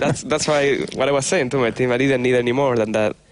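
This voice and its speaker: Medium in pitch, a man speaks with a Spanish accent. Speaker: pro gamer. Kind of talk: interview.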